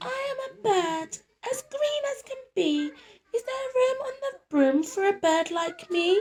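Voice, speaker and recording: A woman's squeaky put-on character voice at an extremely high pitch, slow-ish in pace with very wide pitch swings. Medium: read story.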